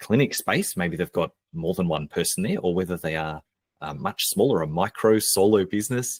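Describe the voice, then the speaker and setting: The speaker has an Australian accent and lively intonation at a moderate pace. The sound is dry and close, with no echo. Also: man, very deep, low pitch for a man. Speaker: marketing expert and business coach. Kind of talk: podcast interview. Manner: casual, conversational with fillers.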